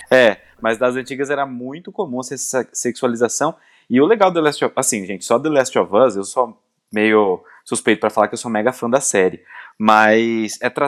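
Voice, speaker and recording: In a normal speaking voice, a man talks at a moderate pace and medium pitch with ordinary pitch variation, recorded very cleanly against a silent background with a dry, close sound and no echo. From interior of Brazil. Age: 20s. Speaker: gaming youtuber. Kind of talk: casual chat.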